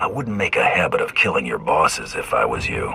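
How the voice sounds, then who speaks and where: In a put-on character voice, a man growls at a fairly quick pace over clear background noise. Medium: machinima. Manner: dry, laconic.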